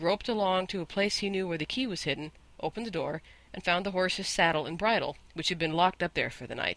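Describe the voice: What you hear is plain reading aloud.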